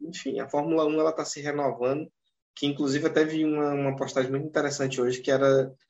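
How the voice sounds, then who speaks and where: Speaking at a very fast pace, a man uses a monotone, flat intonation at a fairly high pitch. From northern Brazil. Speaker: podcast host. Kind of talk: casual podcast chat.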